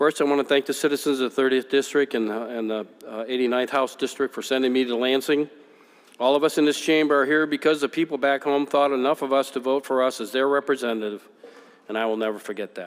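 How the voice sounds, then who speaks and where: Here a man speaks very fast with an Upper Midwest accent. His medium pitch holds a fairly even intonation. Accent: Upper Midwest American. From West Michigan, US. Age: 50s. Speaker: politician. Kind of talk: farewell speech. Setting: legislative chamber. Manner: formal.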